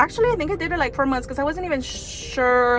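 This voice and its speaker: Over noticeable background noise, a woman with a Spanish accent talks at a fairly quick pace. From Mexican heritage, raised in US. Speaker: vlogger, body contouring business owner. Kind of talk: casual vlog talk to camera.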